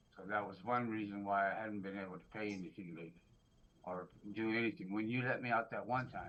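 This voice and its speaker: A man with a fairly low pitch speaks at a very fast pace, with ordinary pitch variation and big swings in loudness. Room echo is audible. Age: 60s. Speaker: defendant. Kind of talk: court hearing. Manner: halting.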